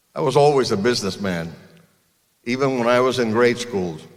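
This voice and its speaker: In a room with audible echo, a man speaks at a medium pitch and moderate pace with ordinary pitch variation. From Cuba. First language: Spanish. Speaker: car dealer. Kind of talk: commencement speech.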